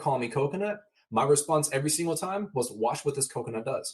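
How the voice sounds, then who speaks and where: A man talks at a very fast pace in an animated tone, his voice somewhat breathy. His pitch is fairly high, with ordinary pitch variation. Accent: American. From Downey, California (Los Angeles area). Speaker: motivational speaker. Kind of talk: casual interview conversation.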